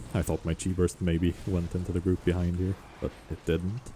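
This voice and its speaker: A dark, mellow tone comes through with some breathiness. The pace is moderate. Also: man. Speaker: gaming video creator. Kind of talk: gameplay commentary. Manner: casual with fillers.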